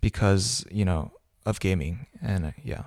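A man with an American accent speaks at a fairly low pitch in a very clean recording with a silent background and a dry, close sound with no echo. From South Korea, partly Indiana and Texas. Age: 20s. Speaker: gamer and writer. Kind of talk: casual chat.

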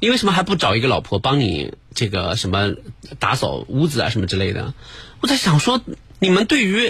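A man speaks with a fairly high pitch and vocal fry. His pitch swings very widely at a moderate pace. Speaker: radio host. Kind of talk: live late-night radio talk show. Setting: radio studio.

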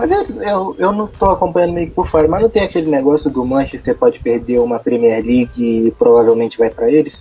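Over noticeable background noise, a man talks fairly quickly in a fairly high voice whose pitch swings very widely. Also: hardly any pauses. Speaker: podcast co-host. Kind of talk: casual chat.

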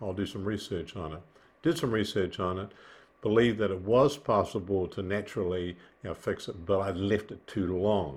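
Here a man speaks with a New Zealand accent. His pitch is fairly low. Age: 70s. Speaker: businessman, heart surgery patient. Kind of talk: casual interview. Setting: video call. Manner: hesitant, many fillers.

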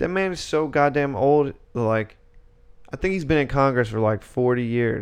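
With an unremarkable speaking voice, a man talks at medium pitch and a moderate pace, his pitch varying in an ordinary way. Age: 20s. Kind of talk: casual chat.

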